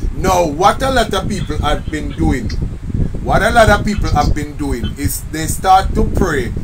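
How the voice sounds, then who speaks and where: The speaker talks at a fairly slow pace. Background noise is noticeable throughout. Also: man. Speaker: minister. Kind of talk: online prayer meeting teaching. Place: home room. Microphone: phone near.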